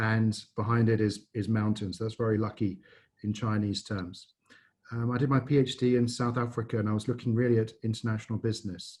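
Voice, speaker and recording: A man with a slight English accent speaks at a medium pitch and a fairly quick pace, somewhat breathy and in a monotone, flat intonation. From England. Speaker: business school dean. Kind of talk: presentation. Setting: video call.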